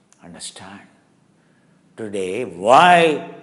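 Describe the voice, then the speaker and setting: The speaker's intonation is lively, and room echo can be heard. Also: man. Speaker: yoga teacher. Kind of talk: live yoga class lecture. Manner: animated; loud, shouting.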